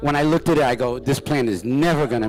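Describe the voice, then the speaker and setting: Noticeable background noise surrounds the voice. A man speaks with ordinary pitch variation. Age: 60s. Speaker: cannabis grower and speaker. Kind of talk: lecture. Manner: animated.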